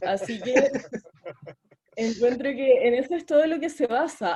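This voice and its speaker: A woman's high voice with a dark, mellow tone and a Chilean accent. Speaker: debate audience speaker. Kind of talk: humorous debate speech.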